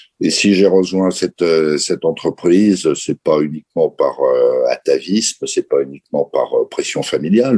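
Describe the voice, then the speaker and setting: The sound is dry and close, with no echo at all. A man speaks at a moderate pace. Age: 60s. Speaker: company chairman. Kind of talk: interview.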